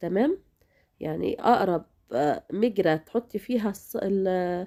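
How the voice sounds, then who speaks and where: A woman's voice carries a dark, mellow tone. Her pitch moves in very wide swings. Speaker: cooking channel host. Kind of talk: cooking tutorial. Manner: casual, chatty.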